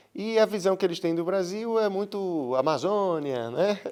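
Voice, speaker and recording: This man's voice sits at a high pitch. Behind him the background is silent, and the recording is very clean. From Brazil, Rio Grande do Norte (Seridó, Currais Novos). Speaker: painter. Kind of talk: interview. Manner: halting, with repetitions.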